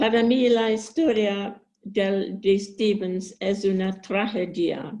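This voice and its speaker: A woman with an English accent, medium in pitch, very slow, with fairly even intonation and very even loudness. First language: English (speaking Spanish). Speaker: book club participant. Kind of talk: book discussion. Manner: simple, careful phrasing.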